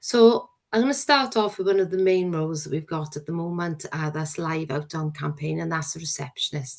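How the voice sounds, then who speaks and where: Barely pausing, a woman with a Welsh accent speaks at a very deep, low pitch with ordinary pitch variation. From Wales. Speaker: probation service manager. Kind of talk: recruitment presentation. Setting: working from home. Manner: hesitant, with frequent fillers.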